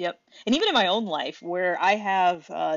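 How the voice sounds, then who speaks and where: Speaking fairly slowly, a woman has a plain, everyday voice of medium pitch with ordinary pitch variation. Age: 30s. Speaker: podcast co-host. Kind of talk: casual chat.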